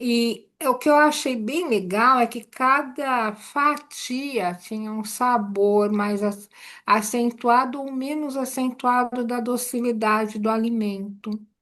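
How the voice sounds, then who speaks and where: A woman's high-pitched voice at a very slow pace, with hardly any pauses. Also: ordinary pitch variation. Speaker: meditation course student. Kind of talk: group sharing in a class.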